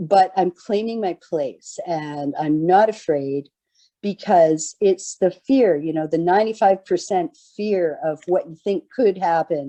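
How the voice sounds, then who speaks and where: A woman speaks in a normal speaking voice at a medium pitch, with ordinary pitch variation and a fairly slow pace. The sound is dry and close, with no echo. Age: 60s. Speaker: peer participant sharing lived experience. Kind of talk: testimony.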